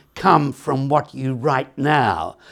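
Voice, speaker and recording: A man with an Australian accent speaks at a very slow pace. The recording is very clean, with a silent background. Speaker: author. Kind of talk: author talk.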